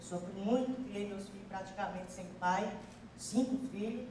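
A woman's medium-pitched voice at a fairly slow pace, with fairly even intonation, audible room echo and noticeable background noise. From Piauí, Brazil. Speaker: audience member, comedian's mother. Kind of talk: spontaneous testimony on stage. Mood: proud, emotional. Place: stage. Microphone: handheld.

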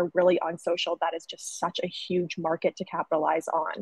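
A woman with an American accent at a moderate pace, dry sound with no echo, quiet background. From US South, North Carolina. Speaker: sales rep, former graphic designer; sales rep. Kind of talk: webinar presentation. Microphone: webcam.

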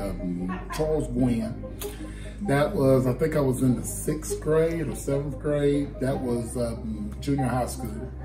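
A man speaks at a moderate pace while clear music plays in the background. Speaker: teacher, coach. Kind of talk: interview answer. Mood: calm, reflective. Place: hall.

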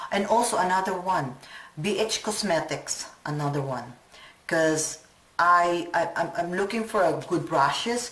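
Fairly slow speech with audible room echo. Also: woman, fairly low pitch for a woman, ordinary pitch variation. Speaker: beauty vlogger. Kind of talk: casual vlog talk. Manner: rambling, hesitant.

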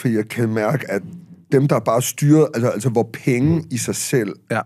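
A man speaks in a dark, mellow tone with ordinary pitch variation. The background is quiet. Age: 50s. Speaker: author and public speaker; public speaker. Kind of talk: casual chat. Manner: halting. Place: studio. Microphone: studio mic.

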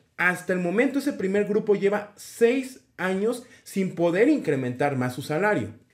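A man with a high pitch talks at a fairly slow pace, his voice making very wide pitch swings. He takes hardly any pauses over a quiet background. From Mexico City. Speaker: teacher and education YouTuber. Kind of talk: tutorial. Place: home room. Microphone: webcam.

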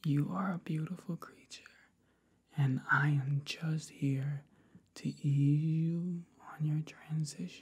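A soft-spoken man whispering at a very slow pace. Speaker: relaxation guide. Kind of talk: soft guided relaxation talk. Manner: soft ASMR whisper, close to mic. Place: home room. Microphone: webcam.

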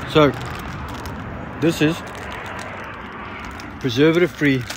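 A man speaks at a fairly slow pace. The sound is dry with no echo, over light background noise. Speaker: road-trip vlogger selling dried fruit. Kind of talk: casual vlog chat. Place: open country. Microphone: phone near.

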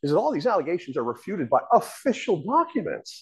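Over a quiet background, a man with an American accent speaks at a very fast pace. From Eastern Massachusetts. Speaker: presenter. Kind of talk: lecture. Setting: stage with audience. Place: hall.

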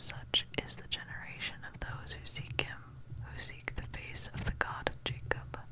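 Soft-spoken whispering at a fairly slow pace, dry with no echo, over noticeable background noise. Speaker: scripture reader. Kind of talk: reading scripture aloud. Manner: very soft ASMR whisper reading.

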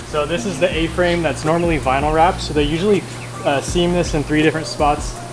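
A man talks at a fairly quick pace. Noticeable background noise is heard. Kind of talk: casual explanation of work. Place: workshop.

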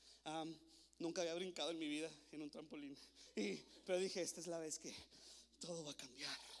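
An animated man talks at a moderate pace and a fairly high pitch. His pitch varies in an ordinary way. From El Paso, Texas (US-Mexico border), born in Ciudad Juárez. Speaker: youth pastor / conference speaker. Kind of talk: sermon. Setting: stage with audience. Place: church. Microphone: handheld.

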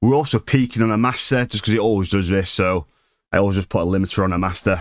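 A man with a fairly low pitch talks at a fast pace with fairly even intonation. The recording is very clean, with a silent background.

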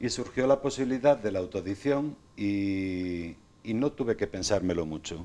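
A man talks at a moderate pace. His fairly low voice has a dark, mellow tone. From Spain, Sanabria (Zamora); Spain. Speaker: self-published author; interview guest. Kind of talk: TV interview. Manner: halting, many repetitions. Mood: calm, reflective. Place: studio. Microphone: lapel.

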